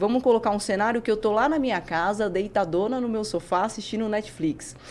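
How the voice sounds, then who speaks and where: A woman speaks at a fairly quick pace. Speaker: neuroscientist and physical educator. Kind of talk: podcast interview. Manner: fast.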